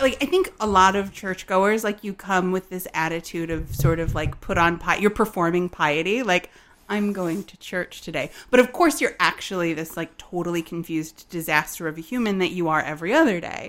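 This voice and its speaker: A woman speaks at a medium pitch in a normal speaking voice, going at a fairly quick pace with hardly any pauses. Her pitch varies in an ordinary way while her loudness swings widely. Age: 30s. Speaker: account manager and writer. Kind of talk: casual interview.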